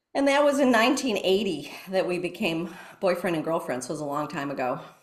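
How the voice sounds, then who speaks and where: Very fast speech from a woman with a fairly low voice and very wide pitch swings, in audible room echo. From US Midwest. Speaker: mindfulness teacher. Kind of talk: interview.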